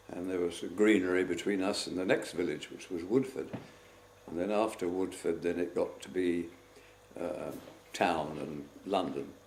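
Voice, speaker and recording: A man speaks at a moderate pace in a very deep, low pitch with ordinary pitch variation. Noticeable background noise runs behind him. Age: 80s+. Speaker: war veteran. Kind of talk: interview answer.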